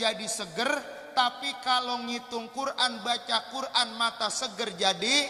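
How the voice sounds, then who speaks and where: A man's raised, projected voice at an extremely high pitch and a very slow pace, over noticeable background noise. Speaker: Islamic preacher. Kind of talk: sermon. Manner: not shouting, subdued delivery.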